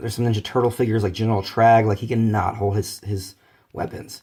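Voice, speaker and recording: Speaking at a very fast pace, this man has a somewhat breathy voice at medium pitch. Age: 30s. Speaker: toy reviewer. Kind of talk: toy review vlog. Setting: at home, near a bathroom. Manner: casual, halting.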